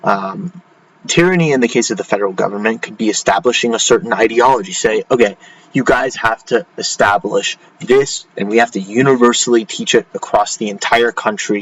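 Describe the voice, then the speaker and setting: A man speaks fairly quickly in a medium pitch with lively intonation. Noticeable background noise sits behind him. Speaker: educational YouTuber, AP exam tutor. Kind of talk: tutorial. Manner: halting, many fillers; casual.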